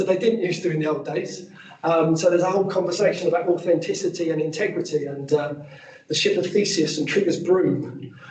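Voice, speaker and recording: Talking at a very fast pace, a man with a high pitch keeps his intonation fairly even as audible room echo rings around him. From England, Essex near Epping; Essex. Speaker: archaeologist and heritage consultant; presenter. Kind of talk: professional presentation. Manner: hesitant fillers. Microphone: video call.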